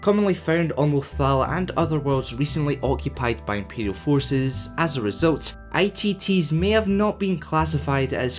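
A Scottish accent over music in the background. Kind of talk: lore narration.

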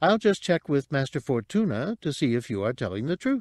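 In a put-on character voice, a man sounds robotic at a fairly high pitch with very wide pitch swings. The recording is very clean, with a silent background. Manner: polite, chatty, prim.

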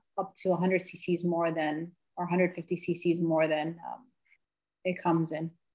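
In an American accent, a woman talks at a very slow pace over a quiet background. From New York. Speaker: physician assistant; presenter. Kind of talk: presentation. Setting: video call. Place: home room. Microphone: video call.

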